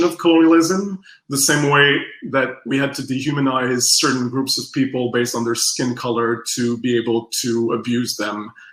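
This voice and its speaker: A man speaks at a moderate pace with a Quebec French accent. His tone is bright and sharp. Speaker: strategic design researcher. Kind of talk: workshop presentation. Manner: halting.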